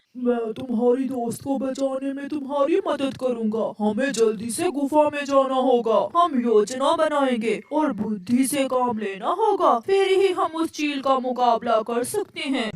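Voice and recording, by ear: Using a cartoonish character voice, a man talks at a fairly slow pace and an extremely high pitch.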